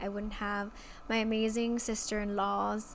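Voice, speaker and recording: A woman speaks at a fairly slow pace in a fairly high, flat, monotone voice, with audible room echo. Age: 20s. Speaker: podcast host. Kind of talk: casual personal monologue. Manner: casual, filler-heavy.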